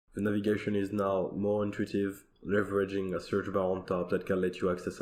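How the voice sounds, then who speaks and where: A man talks at a very fast pace with a very deep, low pitch and monotone, flat intonation. The room echo is audible. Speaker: software developer. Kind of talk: recorded conference demo.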